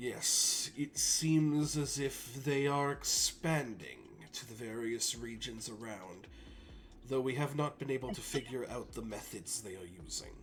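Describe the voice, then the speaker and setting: This put-on character voice moves at a fairly slow pace with big swings in loudness. Clear background noise runs underneath. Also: man, medium pitch for a man, ordinary pitch variation. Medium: actual play. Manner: formal, measured, composed.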